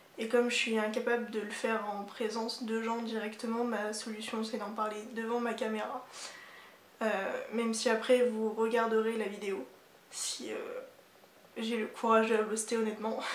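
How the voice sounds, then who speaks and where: Through noticeable background noise, a woman with a fairly high pitch speaks in a monotone, flat way at a moderate pace, leaving long, frequent pauses. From Normandy, France. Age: 20s. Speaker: architecture student. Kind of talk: reading a personal written text.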